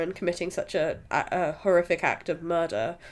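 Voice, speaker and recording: Speaking at a moderate pace with a British accent, a woman comes through on a very clean recording with a silent background. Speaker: podcast host, film reviewer. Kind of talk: casual chat, film review. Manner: halting with fillers.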